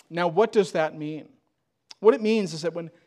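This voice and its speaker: The man's voice is high-pitched. Its pitch varies in an ordinary way. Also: very clean recording, silent background. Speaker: preacher. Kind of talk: sermon. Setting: church. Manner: earnest, exhortative, with emphatic rhetorical questions; pastoral and urgent, repeating phrases for emphasis.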